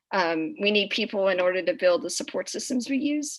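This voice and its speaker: A woman's voice with very wide pitch swings. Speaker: student rocket team member. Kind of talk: presentation. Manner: halting, many fillers.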